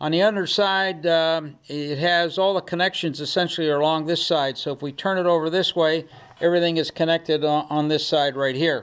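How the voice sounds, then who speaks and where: A man talks at a fairly quick pace with fairly even intonation and hardly any pauses. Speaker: ham radio homebrewer. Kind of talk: tutorial. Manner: loud; hesitant, many filler words.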